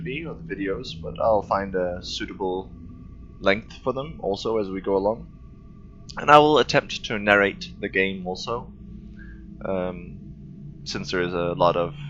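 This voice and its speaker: Over music in the background, a man talks at a fairly low pitch and a moderate pace with lively intonation. Long, frequent pauses break up his speech, and his loudness swings widely. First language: not English. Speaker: gaming video creator. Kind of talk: let's play commentary.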